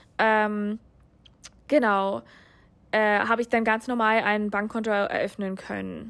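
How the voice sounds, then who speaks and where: A woman's medium-pitched voice stays monotone and flat in a very clean recording with a silent background. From USA. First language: English (speaking German). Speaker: international master's student. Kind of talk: interview. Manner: hesitant, many filler sounds.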